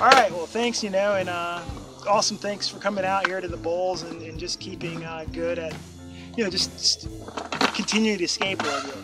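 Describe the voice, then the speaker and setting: Delivered at a fairly quick pace, the speech sounds dry with no echo while loud music plays in the background. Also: man. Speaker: skateboarder. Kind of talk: casual interview host at skate park. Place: open country. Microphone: camera far.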